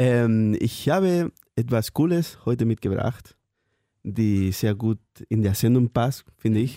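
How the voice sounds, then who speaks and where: In a Spanish accent, a man speaks at a very slow pace with a medium pitch, ordinary pitch variation, a dark, mellow tone and very even loudness, on a very clean recording with a silent background and a dry, close sound with no echo. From Spain. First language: Spanish (speaking German). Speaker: intern. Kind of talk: casual chat. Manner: halting.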